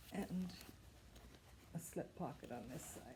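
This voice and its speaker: This woman's voice has a dark, mellow tone and comes across as somewhat breathy. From Canada, Ontario. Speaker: sewing and knitting video host. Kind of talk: casual show-and-tell. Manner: hesitant, many fillers.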